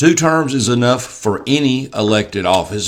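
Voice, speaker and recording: A man with an Alabama accent talks at a moderate pace in a medium-pitched voice with very wide pitch swings, over noticeable background noise. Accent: Southern US (Alabama). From US South. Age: 60s. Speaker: mayoral candidate. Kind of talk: casual interview.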